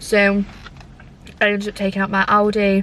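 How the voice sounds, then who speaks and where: Her medium-pitched voice moves at a moderate pace with monotone, flat intonation. Noticeable background noise sits behind the woman's speech. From northern England, Scunthorpe (Lincolnshire). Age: 20s. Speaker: vlogger. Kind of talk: casual Q&A vlog chat. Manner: chatty, many fillers.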